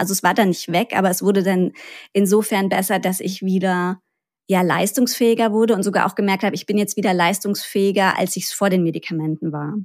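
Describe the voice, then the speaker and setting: A woman with an ordinary speaking voice talks at a moderate pace in a medium pitch with fairly even intonation, captured in a very clean recording with a silent background. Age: 30s. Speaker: gut health podcaster and patient expert. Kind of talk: interview.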